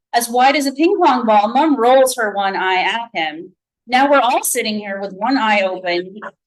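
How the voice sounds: Quiet background beneath a natural reading voice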